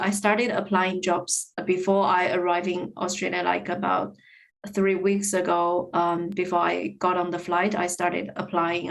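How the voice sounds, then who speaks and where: Here a woman talks fairly slowly at a medium pitch with a Chinese accent. Her intonation stays monotone and flat. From China. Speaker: podcast guest. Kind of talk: casual interview chat. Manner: hesitant, many fillers and repetitions.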